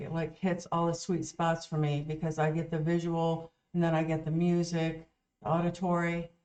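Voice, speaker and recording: A woman's dark, mellow voice, fairly low in pitch, with an American accent at a moderate pace. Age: 50s. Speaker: music reaction channel co-host. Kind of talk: casual chat.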